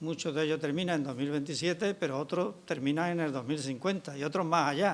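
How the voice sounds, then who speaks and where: A man's fairly high voice at a fairly quick pace, with ordinary pitch variation and hardly any pauses. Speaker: pension activist speaker. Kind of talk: public talk. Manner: soft-spoken.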